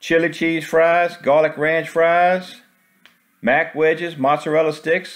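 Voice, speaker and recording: The background stays quiet as a man talks fairly slowly. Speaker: food vlogger. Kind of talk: casual vlog commentary. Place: cafe. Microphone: phone near.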